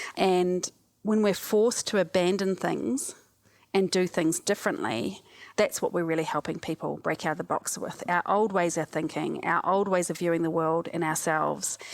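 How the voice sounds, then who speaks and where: Heard in a very clean recording with a silent background, a woman with a New Zealand accent speaks at a moderate pace with a fairly low pitch and ordinary pitch variation. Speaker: cognitive scientist and disaster relief specialist. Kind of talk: podcast interview.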